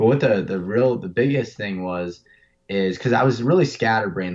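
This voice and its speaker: A man talks with a Pennsylvania accent at a fairly quick pace and fairly low pitch. His pitch variation is ordinary, and the background is quiet. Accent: Pennsylvania American. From North Central Pennsylvania. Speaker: elk hunter. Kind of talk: casual interview. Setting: phone call.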